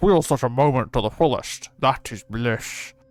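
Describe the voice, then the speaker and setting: Over music in the background, a man puts on a character voice at a medium pitch. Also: moderate pace. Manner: mock-blustery, blah-blah.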